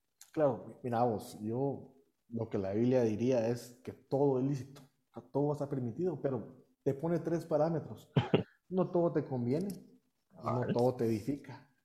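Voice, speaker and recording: In a dark, mellow tone, a man speaks somewhat breathily at medium pitch and a moderate pace, with ordinary pitch variation and long, frequent pauses. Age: 30s. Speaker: deacon and youth minister. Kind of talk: interview.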